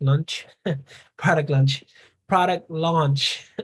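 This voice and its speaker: Delivered at a fairly slow pace, the speech comes in a Spanish accent. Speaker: business coach. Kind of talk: live Q&A on video call. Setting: video call.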